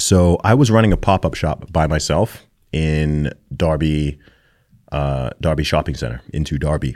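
With an American accent, a man speaks at a moderate pace in a very deep, low voice with ordinary pitch variation, on a very clean recording with a silent background. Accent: American, never British. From Saudi Arabia, American international school. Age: 30s. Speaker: rapper. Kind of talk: interview.

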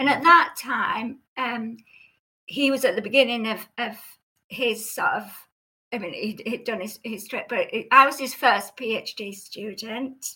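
A woman speaks fairly slowly in a high, bright and sharp voice. Her pitch varies in an ordinary way while her loudness swings widely. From Cumbria, northern England. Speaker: former clinical psychologist and novelist. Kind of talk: casual interview conversation. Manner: halting, hesitant with fillers.

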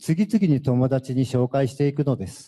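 A somewhat breathy male voice at a moderate pace, on a very clean recording with a silent background. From Japan, Fukuoka. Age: 50s. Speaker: former prisoner giving testimony. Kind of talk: testimony.

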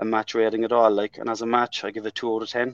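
A man with a strong Irish accent talks at a very fast pace and medium pitch, with monotone, flat intonation. The sound is dry and close with no echo, over a quiet background. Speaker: football fan. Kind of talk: casual chat.

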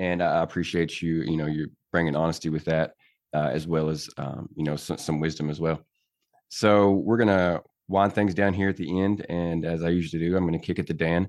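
Spoken with fairly even intonation in an American accent, the voice sits against a quiet background. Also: man, very deep, low pitch for a man. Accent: Southern US accent, deliberately reduced. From Tennessee. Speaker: podcast host, army veteran. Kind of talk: casual interview chat.

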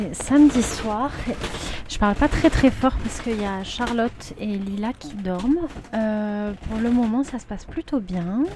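Against noticeable background noise, a woman talks fairly slowly in a fairly high pitch with ordinary pitch variation and big swings in loudness. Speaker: sailboat skipper and owner. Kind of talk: audio diary on board. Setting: on a sailboat at sea.

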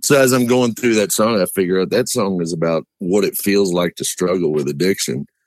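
Here a man talks at a fairly quick pace in a resonant, fairly low voice with ordinary pitch variation. The sound is dry and close, with no echo. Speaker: musician interviewed as a guest. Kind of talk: casual, folksy, rural grammar. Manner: relaxed, dry humor.

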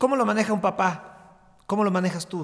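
This is a man speaking at a moderate pace. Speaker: podcast host and sports journalist. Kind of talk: interview.

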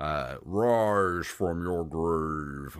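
A man's put-on robotic character voice, very deep and low in pitch, with ordinary pitch variation.

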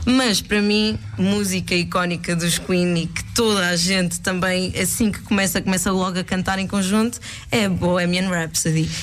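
A woman's plain, everyday voice at medium pitch, with fairly even intonation, a moderate pace and hardly any pauses. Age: 20s. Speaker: guest radio presenter. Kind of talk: radio music show chat. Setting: radio studio.

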